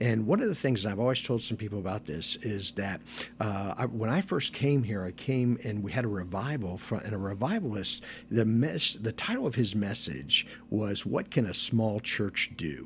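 A man with a somewhat breathy voice speaks at a moderate pace. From northern Kentucky. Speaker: pastor. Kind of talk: interview.

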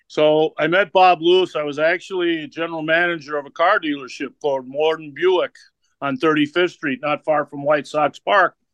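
A man with a fairly high pitch speaks at a moderate pace with fairly even intonation in a normal speaking voice. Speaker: wrestling manager. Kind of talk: interview with storytelling.

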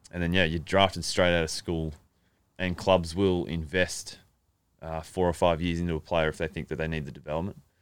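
In an Australian accent, a man speaks with a very deep, low pitch and a monotone, flat intonation. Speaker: college punter, former pro footballer. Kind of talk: casual interview chat.

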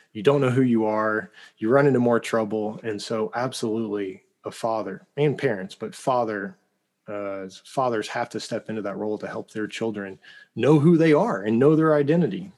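A man with a slight Oklahoma accent is heard on a very clean recording with a silent background. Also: medium pitch for a man, ordinary pitch variation, moderate pace. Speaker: founder of a fathers' ministry. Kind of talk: interview. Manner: animated.

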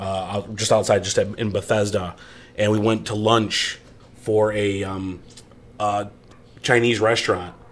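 An American accent at a fairly slow pace, in a monotone, flat intonation. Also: man. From western New York. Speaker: barbecue social media cook. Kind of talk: casual chat.

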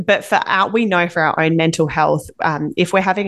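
A woman with an Australian accent, fairly low in pitch, fairly even in intonation, at a fairly quick pace. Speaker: parenting podcast co-host. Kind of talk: casual chat.

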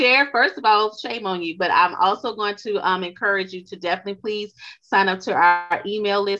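A woman with a Louisiana accent speaks in a bright, sharp tone at a medium pitch. Her pace is fairly quick, with ordinary pitch variation. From US South, Louisiana. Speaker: podcast host. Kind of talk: interview.

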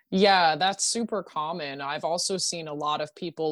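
A woman's plain, everyday voice with an American accent, fairly low in pitch, at a moderate pace. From rural Pennsylvania. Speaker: harm reduction activist. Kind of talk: interview.

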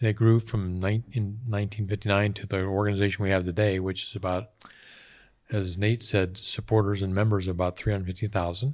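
A man with an American accent and an unremarkable speaking voice talks at a fairly quick pace, his pitch fairly low. His intonation is fairly even, and the recording is very clean with a silent background. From north central Pennsylvania. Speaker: conservation volunteer. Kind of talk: casual interview.

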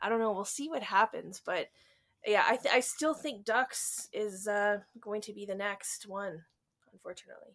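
It's a plain, everyday voice at a moderate pace with ordinary pitch variation. The loudness swings widely. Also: woman, fairly high pitch for a woman. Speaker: book reviewer. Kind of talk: casual chat.

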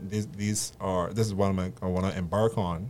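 This man has a very deep, low pitch. His pitch varies in an ordinary way. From Barbados. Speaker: personal trainer. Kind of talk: casual chat.

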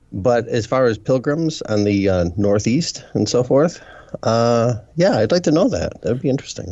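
A man with a plain, everyday voice, medium pitch, lively intonation, very even loudness and a moderate pace. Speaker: co-host, writer on skepticism. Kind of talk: casual chat.

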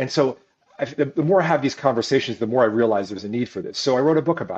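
Lively intonation in an American accent. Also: man. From US Midwest, Ohio (Cleveland). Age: 50s. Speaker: entrepreneur and author. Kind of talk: interview conversation.

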